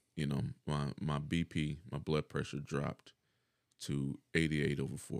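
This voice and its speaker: With vocal fry and a very deep, low pitch, a man speaks with fairly even intonation in a dry, close sound with no echo. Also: moderate pace. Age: 40s. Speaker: dialysis patient and shift worker. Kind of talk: casual chat.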